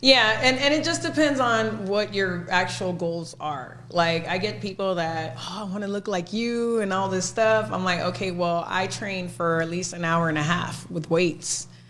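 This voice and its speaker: Over noticeable background noise and audible room echo, a woman with an American accent uses lively intonation at a moderate pace with hardly any pauses. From Texas, McAllen (Rio Grande Valley). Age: 40s. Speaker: personal trainer. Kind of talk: casual chat.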